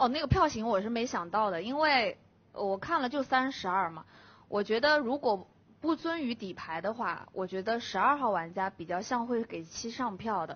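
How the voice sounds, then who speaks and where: Speaking at a moderate pace with lively intonation, a woman with a fairly high pitch uses a plain, everyday voice. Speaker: werewolf game player. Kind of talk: game argument speech. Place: studio. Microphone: headset.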